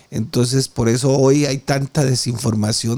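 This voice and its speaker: Here is a man with an unremarkable speaking voice and medium pitch. He keeps a moderate pace and ordinary pitch variation. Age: 50s. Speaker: preacher. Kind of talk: sermon.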